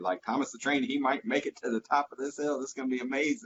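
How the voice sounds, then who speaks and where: The man's delivery is very fast. He uses lively intonation. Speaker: final expense insurance telesales agent. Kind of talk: interview.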